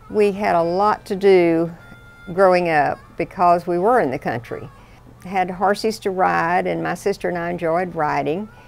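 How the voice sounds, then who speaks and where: The speaker has a Texan accent and a moderate pace. Pitch varies in an ordinary way. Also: woman, fairly low pitch for a woman. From South Texas, Cotulla. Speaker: hunter. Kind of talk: interview.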